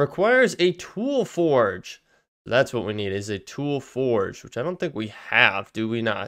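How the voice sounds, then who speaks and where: Against a quiet background, a man with a medium pitch speaks at a fairly slow pace, his voice making very wide pitch swings. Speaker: gaming youtuber. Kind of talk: let's play commentary. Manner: casual, halting with fillers; loud at times.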